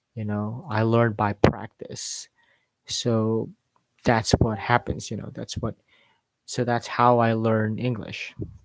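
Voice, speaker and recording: At a very slow pace, a man with a non-native accent speaks in a medium pitch and monotone, flat intonation, with a dry, close sound and no echo. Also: long, frequent pauses. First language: not English. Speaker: English accent teacher. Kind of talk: live stream tutorial. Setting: YouTube live stream. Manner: halting, many fillers.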